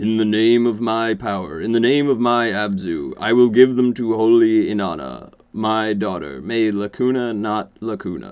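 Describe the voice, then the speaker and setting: Putting on a character voice, a man speaks at a medium pitch. His pace is moderate with hardly any pauses. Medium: read story. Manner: formal, ritual repetition.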